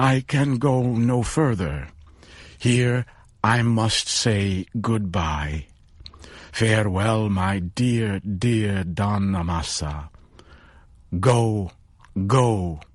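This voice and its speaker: Putting on a character voice, a man speaks very slowly at a fairly low pitch, with long, frequent pauses. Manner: excited, emotional.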